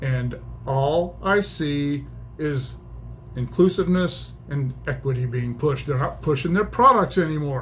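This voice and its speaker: In an American accent, a man speaks at a fairly slow pace with audible room echo. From small-town US. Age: 60s. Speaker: YouTube commentator. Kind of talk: opinion monologue. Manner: casual, halting with repetitions.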